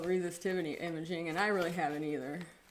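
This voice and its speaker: With an American accent, a woman mumbles at a fairly quick pace in a fairly low voice, with audible echo from the room. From Wisconsin, US Midwest. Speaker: geophysicist presenter. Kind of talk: livestream presentation. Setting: live stream. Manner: mumbling; casual, filler-heavy.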